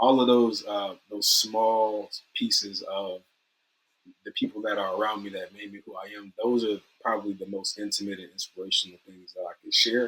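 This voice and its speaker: The speaker is a man at a moderate pace. His volume rises and falls in big swings. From US South. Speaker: data and AI consultant. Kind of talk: interview. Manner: halting.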